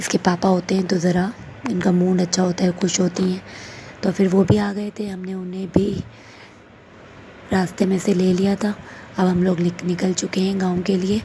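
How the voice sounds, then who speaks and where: A woman of medium pitch speaks at a fairly slow pace with monotone, flat intonation amid noticeable background noise. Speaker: vlogger. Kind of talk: travel vlog narration.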